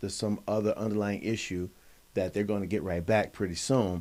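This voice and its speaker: Recorded very cleanly with a silent background, a man speaks in a dark, mellow tone with fairly even intonation. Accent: American. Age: 60s. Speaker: high school attendance officer and teacher. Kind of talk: casual chat. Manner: halting.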